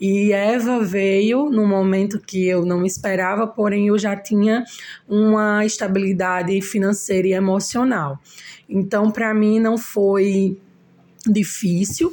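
A woman's medium-pitched voice, very slow, with fairly even intonation and very even loudness. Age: 30s. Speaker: braider and single mother. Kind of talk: interview.

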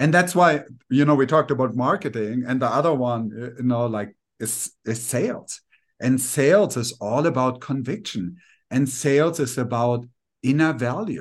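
The speaker has a German accent and keeps a moderate pace. Pitch variation is ordinary, and the background is quiet. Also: man. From Germany. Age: 40s. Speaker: life coach. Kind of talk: casual interview.

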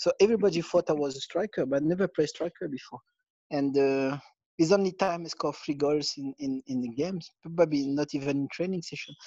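The sound is dry and close with no echo as a man with a French accent talks at a very fast pace, his fairly high pitch showing ordinary variation and his tone dark and mellow. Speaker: former footballer and football manager. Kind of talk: interview. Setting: remote call. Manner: halting.

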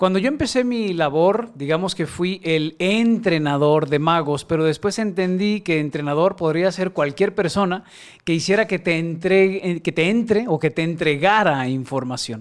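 The recording is very clean, with a silent background. A man with a high-pitched voice talks with hardly any pauses. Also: ordinary pitch variation, moderate pace. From Mexico, Guadalajara. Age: 40s. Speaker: creativity mentor and facilitator. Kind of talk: interview.

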